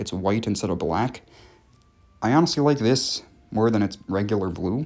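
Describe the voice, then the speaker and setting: With music playing in the background, a man speaks at a fairly quick pace in a medium pitch with ordinary pitch variation. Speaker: YouTuber reviewing edited game character designs. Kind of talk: casual video commentary. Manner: halting, self-correcting; casual, filler-heavy.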